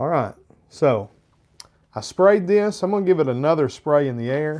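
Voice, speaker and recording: A man's fairly high-pitched, moderately paced speech with lively intonation and a slight Arkansas accent. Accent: slight Southern (Arkansas). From Arkansas, US South. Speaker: fragrance reviewer, live streamer. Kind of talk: live stream review, casual chat. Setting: live stream with chat.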